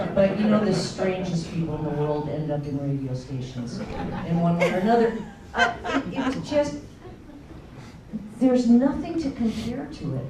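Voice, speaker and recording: A woman at a moderate pace, fairly low in pitch, with very wide pitch swings and long, frequent pauses, crowd noise in the background and audible room echo. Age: 60s. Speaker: former radio DJ. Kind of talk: panel discussion. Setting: stage with audience. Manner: halting.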